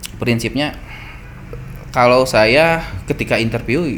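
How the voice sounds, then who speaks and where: Lively intonation in a Sundanese accent at a fairly slow pace, with audible room echo and noticeable background noise. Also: man. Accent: Sundanese accent in English, still present. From West Java, Cianjur (Sundanese). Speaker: entrepreneur. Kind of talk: podcast interview. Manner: halting, with repetitions.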